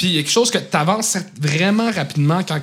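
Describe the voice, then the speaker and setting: Speaking fairly quickly, a man lets his pitch vary in an ordinary way. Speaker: comedian. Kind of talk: casual chat.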